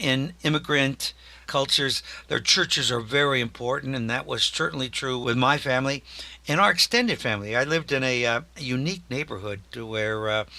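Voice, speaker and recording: A man with an American accent, medium pitch, bright, sharp tone, ordinary pitch variation and a fairly quick pace. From US Midwest, Iowa (Des Moines). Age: 60s. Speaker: peace activist and former priest. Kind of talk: interview. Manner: hesitant, with frequent fillers.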